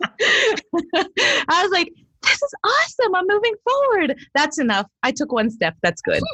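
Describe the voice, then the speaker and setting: In a Midwestern accent, a woman with an extremely high pitch projects her voice in an upbeat tone at a fairly slow pace, with very wide pitch swings, very even loudness, and a dry, close sound with no echo. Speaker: voice actor. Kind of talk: interview answer.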